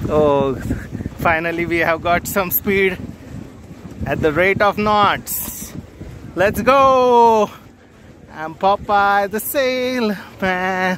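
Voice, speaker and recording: A man speaks at a very slow pace and a high pitch, leaving long, frequent pauses, with ordinary pitch variation. The sound is dry with no echo, and there is light background noise. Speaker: travel vlogger. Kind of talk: casual vlog chat. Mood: playful, teasing. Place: boat. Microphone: phone near.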